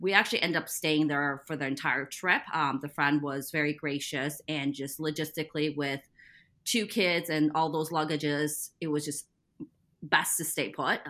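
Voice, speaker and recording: A woman speaks at a moderate pace with a General American accent and a very deep, low pitch. Her tone is bright and sharp. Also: fairly even intonation, very clean recording, silent background. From US Midwest. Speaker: parent. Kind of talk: casual interview.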